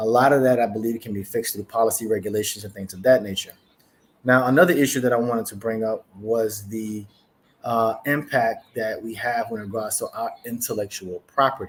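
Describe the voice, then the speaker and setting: Speaking at a fairly quick pace, a man with a medium pitch keeps his intonation fairly even while his loudness swings widely. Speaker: cybersecurity consultant. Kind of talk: conference presentation. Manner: fast.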